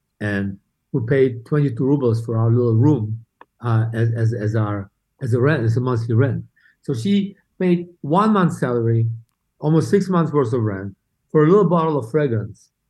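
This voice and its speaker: The voice has a dark, mellow tone and is somewhat breathy. Its intonation is lively and the pace is moderate. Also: man, medium pitch for a man. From Saint Petersburg, Russia. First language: Russian. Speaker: beauty brand co-founder. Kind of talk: casual interview chat. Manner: halting, many repeated words.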